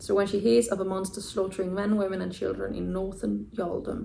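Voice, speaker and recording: A woman talks at a moderate pace. Audible room echo is present. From Denmark. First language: Danish. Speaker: booktuber. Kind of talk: casual vlog talk to camera. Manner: animated.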